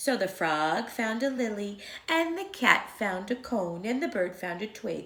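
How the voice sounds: Heard here is a natural reading voice with lively intonation.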